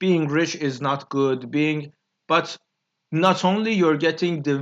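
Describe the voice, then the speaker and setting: Here a man talks at a fairly high pitch with a Persian accent and ordinary pitch variation. The background is quiet. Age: 20s. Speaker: YouTuber. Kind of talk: solo monologue. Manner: halting, many fillers.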